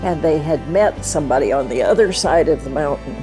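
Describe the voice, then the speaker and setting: A woman at a fairly slow pace over music in the background. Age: 80s+. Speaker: Bible translation donor. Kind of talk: interview answer.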